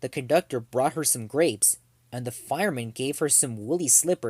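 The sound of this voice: What we hear is an unforced reading voice.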